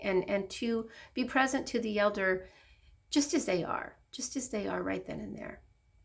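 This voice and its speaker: In a very clean recording with a silent background, a woman with a fairly high pitch and vocal fry speaks at a fairly slow pace with lively intonation. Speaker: hospice social worker. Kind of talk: casual talk to camera.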